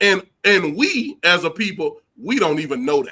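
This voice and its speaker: The speaker has an American accent and a raised, projected voice. The tone is bright and sharp, with very wide pitch swings. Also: man. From Texas, Houston (Acres Home). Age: 40s. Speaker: college football head coach. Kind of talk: interview. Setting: live stream show. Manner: animated.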